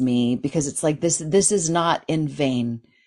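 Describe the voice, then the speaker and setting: A woman speaks in an animated tone at a fairly slow pace. The background is quiet. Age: 50s. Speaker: dream therapist and author. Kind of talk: interview.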